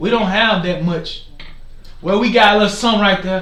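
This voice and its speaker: A man's high pitch with audible room echo and noticeable background noise. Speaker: forex trading streamer. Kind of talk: live market commentary. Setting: livestream. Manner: loud; animated.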